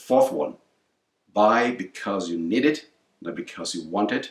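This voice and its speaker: A man has an ordinary speaking voice with fairly low pitch. His pitch variation is ordinary. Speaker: parent giving financial advice. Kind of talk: casual educational chat.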